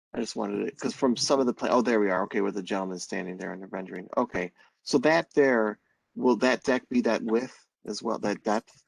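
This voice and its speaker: A normal speaking voice moves at a fairly quick pace with ordinary pitch variation. The recording is very clean and dry, with a silent background, a close sound and no echo. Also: man, fairly low pitch for a man. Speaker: planning board member. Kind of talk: public meeting questions.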